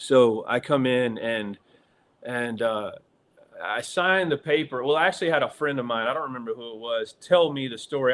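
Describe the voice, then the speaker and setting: Speaking at a fairly quick pace, a man with a Southern US accent has a medium pitch and ordinary pitch variation. His loudness swings widely. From US South. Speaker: actor. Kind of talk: interview storytelling. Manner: hesitant, many fillers.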